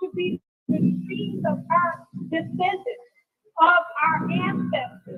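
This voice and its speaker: With music in the background, a woman talks in an American accent. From California. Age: 60s. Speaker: descendant giving public comment. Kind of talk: public comment. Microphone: very quiet line.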